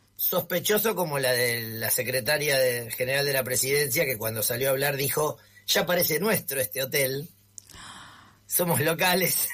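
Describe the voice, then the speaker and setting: A man's fairly high voice with ordinary pitch variation at a moderate pace, over noticeable background noise. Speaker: media analyst. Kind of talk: radio column. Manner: casual conversational.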